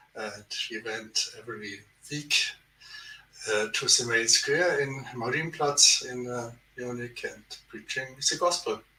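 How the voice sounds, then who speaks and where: A man with a German accent talks at a fairly slow pace, leaving long, frequent pauses. His loudness swings widely, and there is noticeable background noise. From Germany. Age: 70s. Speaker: theologian. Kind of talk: podcast interview. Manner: halting.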